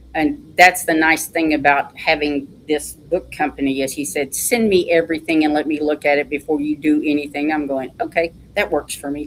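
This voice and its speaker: Speaking with hardly any pauses, a woman with a Texan accent uses a very deep, low pitch and fairly even intonation. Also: moderate pace. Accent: Texan twang. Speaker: author. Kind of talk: interview.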